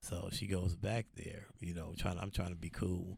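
Somewhat breathy and in an American accent, this voice moves at a moderate pace with fairly even intonation. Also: man. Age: 50s. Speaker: truck driver, former gang member. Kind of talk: casual interview chat.

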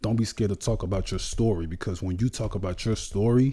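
Somewhat breathy and dark, mellow in tone, the voice moves at a fairly quick pace. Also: man. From New Orleans, Louisiana. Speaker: bodybuilder. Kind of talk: interview.

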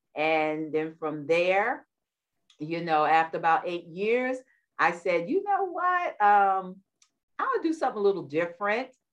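Here is a woman with a New York accent and a medium pitch. Her intonation is lively and her pace fairly slow. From New York, Queens. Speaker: war veteran and wellness coach. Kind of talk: interview.

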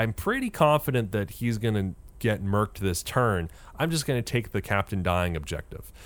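On a very clean recording with a silent background, a man with an ordinary speaking voice talks at a medium pitch and a moderate pace. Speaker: podcast host. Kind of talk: casual chat.

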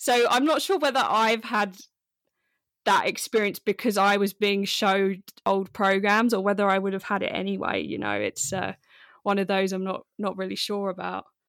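The sound is dry and close, with no echo. A woman speaks at a moderate pace. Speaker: podcast host. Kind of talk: casual chat. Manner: loud.

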